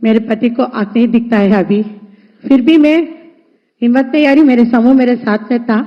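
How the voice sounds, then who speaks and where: With a Telugu accent, a woman speaks in a high pitch and fairly even intonation. Her loudness stays very even, with long, frequent pauses. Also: moderate pace. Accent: Telugu-accented Hindi. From Andhra Pradesh, India. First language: Telugu (speaking Hindi). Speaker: self-help group entrepreneur. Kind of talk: conversation with the prime minister, testimony.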